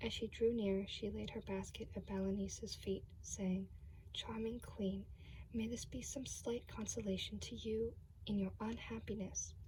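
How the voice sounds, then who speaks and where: A woman speaks softly. Her pace is fairly slow. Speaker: ASMR creator. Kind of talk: ASMR fairy tale reading. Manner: soft-spoken.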